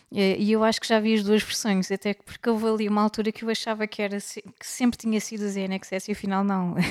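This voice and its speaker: A woman talks very fast with hardly any pauses in a flat, monotone delivery at a fairly high pitch, recorded dry and close with no echo but with noticeable background noise. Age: 30s. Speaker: podcast co-host. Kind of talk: casual chat.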